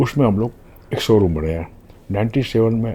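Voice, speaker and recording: This man talks at a moderate pace and a medium pitch, his intonation lively. His tone is dark and mellow, somewhat breathy. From Gujarat, India (Rajkot). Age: 80s+. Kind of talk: interview, life story. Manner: halting, with fillers.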